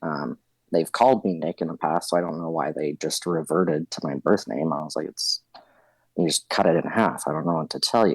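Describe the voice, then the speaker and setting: A very deep, low-pitched man with an American accent, dry and close with no echo, in a very clean recording with a silent background. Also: ordinary pitch variation, fairly quick pace. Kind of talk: casual interview. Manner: casual, hesitant with fillers.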